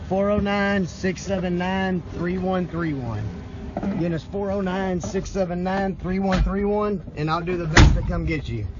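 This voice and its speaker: Music plays in the background as a man speaks at a very slow pace. The sound is dry, with no echo. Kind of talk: casual informational vlog. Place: open country. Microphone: phone near.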